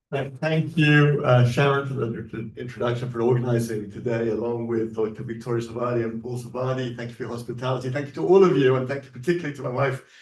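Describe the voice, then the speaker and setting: A man with medium pitch talks at a very fast pace with fairly even intonation. Noticeable background noise is present. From England. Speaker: rabbi, guest speaker. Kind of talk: talk to an audience.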